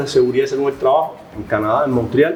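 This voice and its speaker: A man speaks with a Cuban accent. Audible room echo and noticeable background noise surround his voice. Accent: Cuban Spanish, noticeably non-Colombian. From Cuba, Havana. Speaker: professor, human factors expert. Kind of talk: podcast interview. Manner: hesitant with many fillers.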